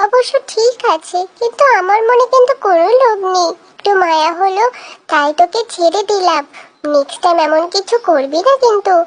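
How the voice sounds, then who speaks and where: This cartoonish character voice sits at an extremely high pitch. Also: moderate pace. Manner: blustering, threatening.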